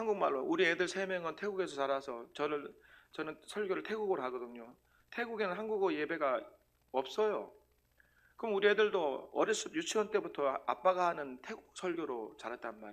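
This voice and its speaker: Loud and animated, a man talks at a fairly quick pace in a high pitch with very wide pitch swings. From South Korea, Sangju, North Gyeongsang. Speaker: missionary preacher. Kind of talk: sermon. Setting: church.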